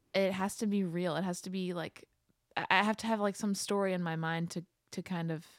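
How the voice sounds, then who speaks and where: Recorded very cleanly against a silent background, a woman with a slight Philadelphia accent talks at a medium pitch and a moderate pace. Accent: slight Philadelphia-area. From Pennsylvania, outside Philadelphia. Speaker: singer-songwriter. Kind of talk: casual interview chat.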